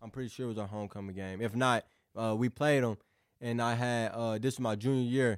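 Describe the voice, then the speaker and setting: An unremarkable speaking voice, this man talks fairly quickly with an American accent, a medium pitch and fairly even intonation, in a very clean, dry, close recording with no echo and a silent background. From southeast Missouri, US. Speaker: college football recruit. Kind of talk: interview. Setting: studio.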